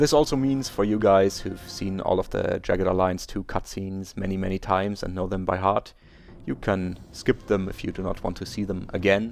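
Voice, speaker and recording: With a German accent, a man with a very deep, low pitch speaks at a moderate pace with fairly even intonation. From Germany. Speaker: video game let's player. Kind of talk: gameplay commentary intro, explaining plans. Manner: hesitant, with frequent filler words.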